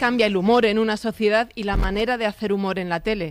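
Her voice sits fairly high for a woman, with ordinary pitch variation.

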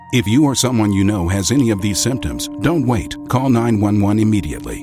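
A man's fairly low voice at a fairly quick pace, with big pitch swings and clear music in the background

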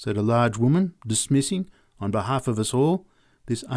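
Lively intonation carries this unforced reading voice.

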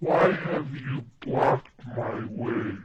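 A put-on character voice comes through breathy at a low-to-middle pitch. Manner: scary.

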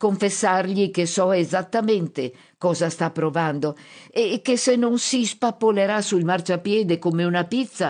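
Someone reads aloud in a natural voice, the pitch moving in an ordinary way.

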